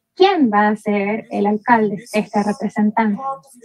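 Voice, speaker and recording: A somewhat breathy woman speaks at a fairly slow pace with ordinary pitch variation. The sound is dry with no echo, over light background noise. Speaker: academic presenter; presenter. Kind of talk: conference presentation. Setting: video call. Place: home room. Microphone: video call.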